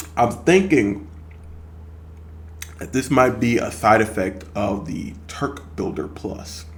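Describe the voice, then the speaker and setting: In a room with audible room echo, a man with a fairly low pitch and lively intonation speaks at a very slow pace, somewhat breathy, with long, frequent pauses and big swings in loudness. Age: 30s. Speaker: fitness vlogger. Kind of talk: casual vlog monologue. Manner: hesitant, many fillers.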